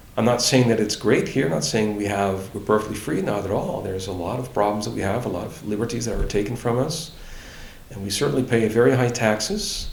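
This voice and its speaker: There's audible room echo and noticeable background noise as a man speaks in a fairly low pitch with ordinary pitch variation. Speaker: libertarian politician and relocation adviser. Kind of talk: interview. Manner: hesitant, many fillers and restarts.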